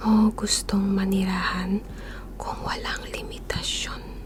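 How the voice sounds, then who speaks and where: Calm and soft-spoken, a woman talks against noticeable background noise. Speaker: ASMR creator. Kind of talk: ASMR question-asking for sleep. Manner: soft-spoken, calm.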